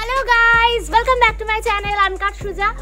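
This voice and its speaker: A woman speaks in a raised, projected voice. Clear music plays in the background. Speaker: travel vlogger. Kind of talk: casual vlog chat. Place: street. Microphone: lapel.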